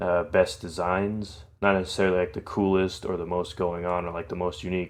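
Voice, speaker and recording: Against a quiet background, a man with a very deep, low voice speaks at a fairly quick pace with fairly even intonation. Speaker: fan animator giving commentary. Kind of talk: unscripted video commentary. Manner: stutters a lot; hesitant, many fillers.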